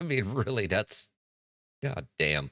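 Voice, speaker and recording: Medium-pitched male speech with a bright, sharp tone and vocal fry, at a fairly slow pace. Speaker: commentary channel host. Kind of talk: reaction commentary. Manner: sarcastic.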